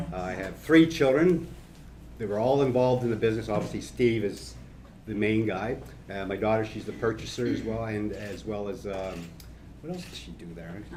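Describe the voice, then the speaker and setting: A man's voice, fairly low in pitch, has big swings in loudness. Audible room echo surrounds it. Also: moderate pace. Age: 60s. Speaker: brewery co-founder. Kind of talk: panel discussion.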